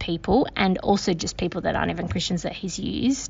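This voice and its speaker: A woman talks with an Australian accent. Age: 30s. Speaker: social worker. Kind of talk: casual chat.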